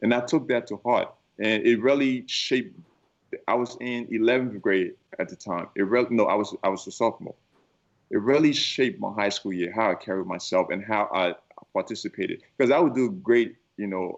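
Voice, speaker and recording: A man with a Liberian accent, medium pitch, lively intonation and a fairly quick pace. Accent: West African (Liberian). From Liberia, West Africa. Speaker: keynote speaker. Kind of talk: interview. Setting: studio.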